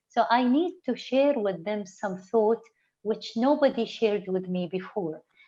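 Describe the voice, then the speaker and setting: The voice has a dark, mellow tone and an Arabic accent. It moves at a moderate pace. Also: woman. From UAE. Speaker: interview guest. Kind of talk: online interview. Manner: halting, frequent repetitions.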